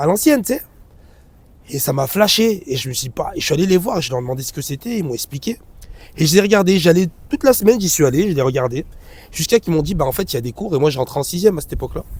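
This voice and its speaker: A man talks at a very fast pace. His high voice swings very widely in pitch. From Grenoble area, France. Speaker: dance director. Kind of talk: casual interview. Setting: outdoors on hilltop.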